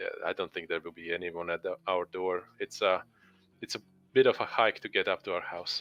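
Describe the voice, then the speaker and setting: A man with a Latvian accent talks at a fairly quick pace, and the sound is dry and close with no echo. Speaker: online game community member. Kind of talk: interview Q&A. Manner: halting.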